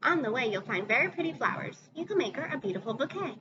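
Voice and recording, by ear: What the clip holds is reading aloud in a natural voice.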